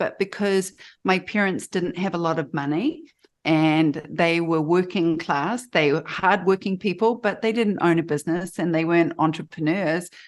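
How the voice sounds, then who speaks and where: A woman speaks with a New Zealand accent at a moderate pace. Her pitch is fairly low, and the background is quiet. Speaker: photographer and life coach. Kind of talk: interview.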